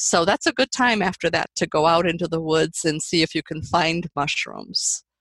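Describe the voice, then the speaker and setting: A woman with a fairly low voice speaks at a moderate pace with hardly any pauses and ordinary pitch variation, the background quiet. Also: dry, close sound with no echo. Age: 60s. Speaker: mushroom farmer. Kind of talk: interview. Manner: halting, many fillers.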